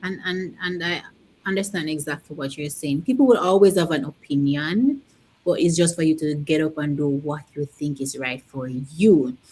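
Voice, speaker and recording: A woman with a Caribbean accent speaks at a moderate pace, her very deep, low voice dark and mellow in tone. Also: ordinary pitch variation. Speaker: interview host, online business coach. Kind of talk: interview.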